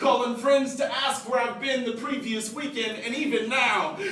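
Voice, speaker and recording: A man's raised, projected voice, extremely high in pitch and monotone, at a moderate pace over noticeable background noise. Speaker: spoken word poet. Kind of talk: slam poetry performance.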